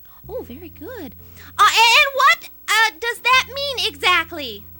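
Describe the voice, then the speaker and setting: Putting on a character voice, a woman speaks with extremely high pitch, lively intonation and big swings in loudness at a fairly slow pace, with music in the background. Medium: audio drama. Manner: stammering, nervous.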